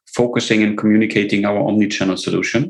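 A man with a German accent. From Germany. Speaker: tech company CEO. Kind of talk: interview.

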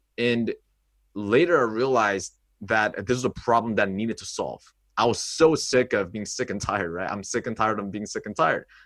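In a Korean accent, a man talks at a fairly quick pace on a very clean recording with a silent background. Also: medium pitch for a man, ordinary pitch variation. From South Korea, moved to upstate New York at 12. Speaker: social confidence coach. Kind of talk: casual interview chat. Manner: animated, filler-heavy.

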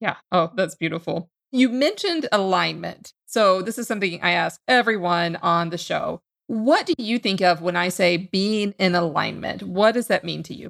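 Speaking at a moderate pace with hardly any pauses, a woman uses a medium pitch, ordinary pitch variation and vocal fry. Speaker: podcast host. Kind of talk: podcast hosting and interview.

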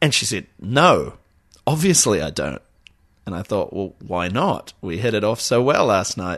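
A voice in a New Zealand accent swings very widely in pitch, with vocal fry, over a quiet background. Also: man. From New Zealand, Auckland. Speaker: podcast co-host. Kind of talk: casual chat.

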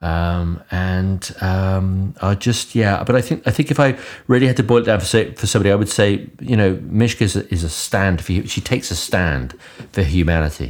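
The speaker has a British accent, a moderate pace and lively intonation. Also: man, very deep, low pitch for a man. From UK. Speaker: podcast co-host. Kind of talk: casual interview chat.

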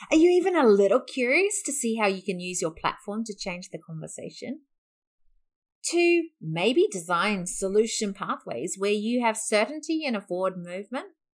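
A woman's fairly high voice with very wide pitch swings at a moderate pace, in a very clean recording with a silent background. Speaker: podcast host and business founder. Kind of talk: sales pitch.

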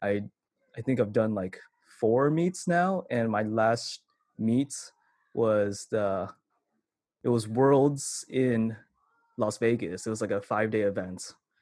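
A very slow pace in a Californian accent, with long, frequent pauses. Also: man, medium pitch for a man, ordinary pitch variation. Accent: Californian American. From Vallejo, California. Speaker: commercial videographer and cat influencer. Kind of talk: interview answers. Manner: casual, many fillers like 'like'.

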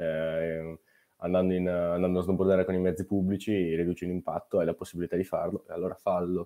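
A man's very deep, low voice with a dark, mellow tone, a monotone, flat delivery, a fairly quick pace and a slight Brescian accent, on a very clean recording with a silent background. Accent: Brescia accent, slight. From northern Italy, Brescia. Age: 20s. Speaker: snowboarder and climate activist. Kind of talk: casual interview. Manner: halting.

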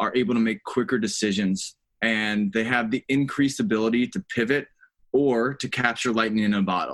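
With an American accent, the speaker uses an ordinary speaking voice at a moderate pace over a quiet background. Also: man. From US South, North Carolina. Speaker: finance and operations executive. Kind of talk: interview.

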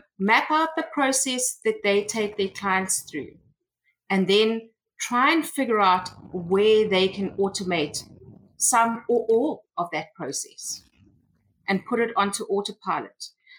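With a South African accent, a woman speaks very slowly in a fairly high pitch with lively intonation. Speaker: tech consultant. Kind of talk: interview.

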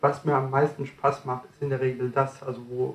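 At a medium pitch, a man speaks at a moderate pace. His voice is somewhat breathy, with monotone, flat intonation. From France. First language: French (speaking German). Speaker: communication trainer and author. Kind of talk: interview, explaining coaching methods.

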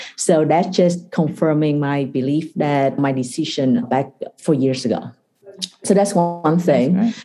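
Here is a woman with a Vietnamese accent and a very deep, low pitch. Her pitch varies in an ordinary way. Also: fairly slow pace. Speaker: venture capital investor. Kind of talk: interview. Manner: halting.

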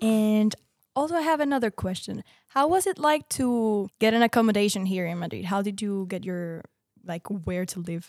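Heard in a dry, close sound with no echo, a woman with an ordinary speaking voice talks at a moderate pace and medium pitch with lively intonation. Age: 20s. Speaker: podcast host. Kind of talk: casual chat.

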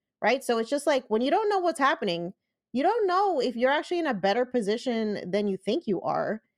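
This woman has a normal speaking voice with a fairly high pitch. She talks at a moderate pace with lively intonation. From US, Puerto Rican family. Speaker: personal finance podcaster and engineer. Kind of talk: interview.

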